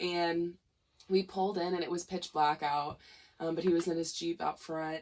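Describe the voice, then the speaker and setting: A woman's fairly low voice with a Missouri accent, fairly slow and flat in a monotone. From Missouri, St. Louis. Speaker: musician. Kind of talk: casual chat.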